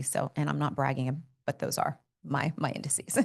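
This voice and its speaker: Here is a woman with a very deep, low-pitched voice. Vocal fry runs through her speech. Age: 50s. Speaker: doctor. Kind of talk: medical explainer podcast. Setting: podcast studio. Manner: fast.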